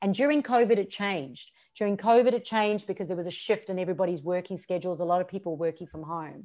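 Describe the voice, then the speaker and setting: Talking at a very fast pace with hardly any pauses, a woman uses ordinary pitch variation. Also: medium pitch for a woman, very clean recording, silent background. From South Africa. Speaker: social media strategist and business coach. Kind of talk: podcast interview.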